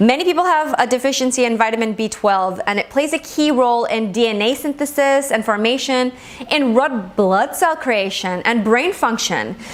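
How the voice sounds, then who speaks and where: With a Gujarati accent, a woman speaks at a moderate pace with hardly any pauses. Her high pitch rises and falls in lively intonation over noticeable background noise. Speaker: Ayurvedic medicine teacher. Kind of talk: lecture.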